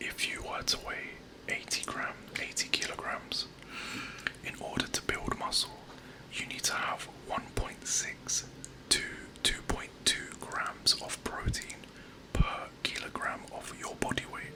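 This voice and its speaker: A man whispers at a fairly slow pace, with long, frequent pauses and noticeable background noise. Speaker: personal trainer. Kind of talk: ASMR personal attention. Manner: soft-spoken; encouraging.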